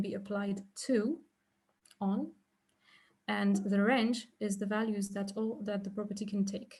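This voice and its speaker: A woman's fairly high, somewhat breathy voice with a dark, mellow tone, at a moderate pace. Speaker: researcher presenting a talk. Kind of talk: academic lecture. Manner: halting, many fillers.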